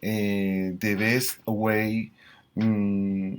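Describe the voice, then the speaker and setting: A man with a Colombian accent and a fairly low pitch, on a very clean recording with a silent background. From Colombia, Bogotá. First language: Spanish. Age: 40s. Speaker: school teacher. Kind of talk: language practice self-introduction. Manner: halting, many fillers.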